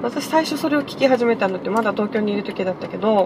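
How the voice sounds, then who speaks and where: The voice moves at a fairly quick pace with ordinary pitch variation, over noticeable background noise. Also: woman. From Okinawa. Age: 30s. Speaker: podcaster. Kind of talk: casual solo monologue. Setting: in a car.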